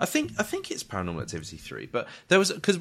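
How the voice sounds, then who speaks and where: Talking at a very fast pace, a man speaks with a British accent. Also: quiet background. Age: 30s. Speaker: podcast host. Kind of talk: casual chat.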